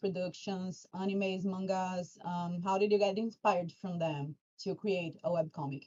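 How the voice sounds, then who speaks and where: In a Portuguese accent, a woman speaks at medium pitch. Her pace is fairly slow. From Brazil. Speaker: fan community moderator. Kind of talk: livestream Q&A hosting. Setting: livestream.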